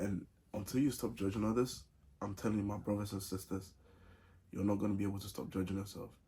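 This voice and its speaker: Fairly low in pitch, this man has a dark, mellow tone and a somewhat breathy voice. He talks at a very fast pace with fairly even intonation. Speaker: vlogger. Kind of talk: casual advice vlog. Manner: many pauses.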